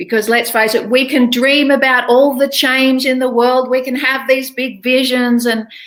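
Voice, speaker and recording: A woman speaks with an Australian accent, at a moderate pace with hardly any pauses. Her high-pitched voice has a monotone, flat intonation. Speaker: English speaking coach. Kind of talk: online interview.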